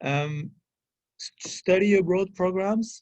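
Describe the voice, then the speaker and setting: This man speaks with a French accent and a dark, mellow tone. His pace is very slow. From France, rural area. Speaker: French consular official. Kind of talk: guest talk at a public affairs event. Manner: halting, many fillers.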